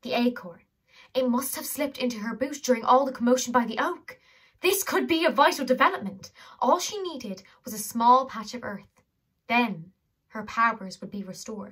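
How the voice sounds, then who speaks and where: Against a quiet background, a woman talks at a moderate pace with a high pitch. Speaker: audiobook reader. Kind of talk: reading a novel aloud. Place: home room. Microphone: phone near.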